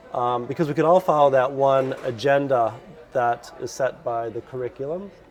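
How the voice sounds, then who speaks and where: In an American accent, a man of medium pitch speaks at a moderate pace with ordinary pitch variation over noticeable background noise. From US Midwest, Chicago suburbs. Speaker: lecturer. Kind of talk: casual interview.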